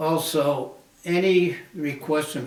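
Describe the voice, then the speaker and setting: Against noticeable background noise and audible room echo, a man speaks with fairly even intonation. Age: 90s. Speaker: war veteran. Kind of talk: interview.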